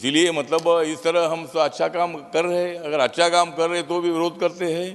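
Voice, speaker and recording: Delivered at a moderate pace with hardly any pauses, the speech has a monotone, flat intonation. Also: man, high pitch for a man. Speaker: politician, parliament member. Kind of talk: parliamentary speech with rhyming couplets, humorous.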